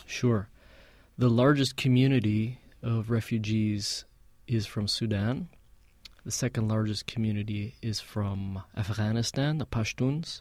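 Recorded very cleanly against a silent background, a man with a normal speaking voice and an American accent talks fairly slowly at a medium pitch with fairly even intonation. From Palestinian American. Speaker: musician. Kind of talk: casual interview. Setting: studio.

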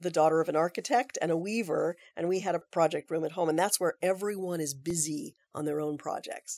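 A woman with a normal speaking voice, fairly low pitch and an American accent talks at a moderate pace with fairly even intonation, in a very clean recording with a silent background and a dry, close sound with no echo. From US West Coast, Aptos, California. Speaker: theater director. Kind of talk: interview.

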